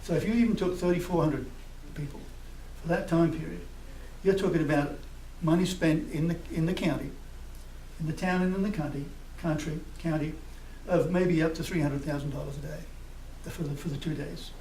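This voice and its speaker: A man speaks fairly quickly and fairly high, with fairly even intonation. Long, frequent pauses break up his speech amid audible room echo. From United Kingdom. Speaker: festival committee representative. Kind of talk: public comment at council meeting. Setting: public meeting. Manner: fast.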